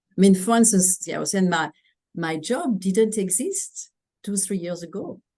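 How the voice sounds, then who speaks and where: With a French accent, a woman at medium pitch speaks in a dark, mellow tone with ordinary pitch variation. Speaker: customer experience executive. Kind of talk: interview.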